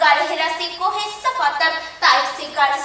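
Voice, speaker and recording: Over noticeable background noise, a woman uses a raised, projected voice with ordinary pitch variation. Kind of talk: formal religious speech to an audience. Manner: emotional, declamatory.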